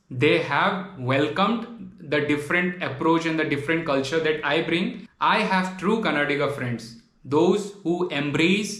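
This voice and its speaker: A man's high-pitched voice in a Bengali accent, fairly slow, with ordinary pitch variation and audible room echo. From Tripura, Northeast India. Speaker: travel vlogger. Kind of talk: video monologue response to critics. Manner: animated.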